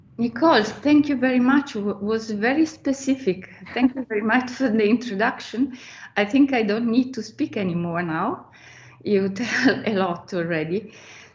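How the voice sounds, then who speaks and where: Noticeable background noise accompanies a woman speaking with lively intonation. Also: fairly high pitch for a woman, moderate pace. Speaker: architect and professor. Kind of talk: guest lecture. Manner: halting, hesitant.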